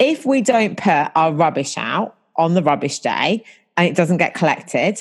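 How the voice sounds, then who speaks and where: With a southern English accent, a woman speaks fairly slowly at a fairly low pitch, with very wide pitch swings and very even loudness. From southern England, about an hour north of London. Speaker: business coach. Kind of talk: casual interview.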